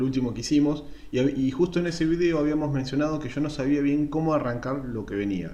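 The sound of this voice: The delivery moves at a fast pace. Pitch variation is ordinary. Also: man.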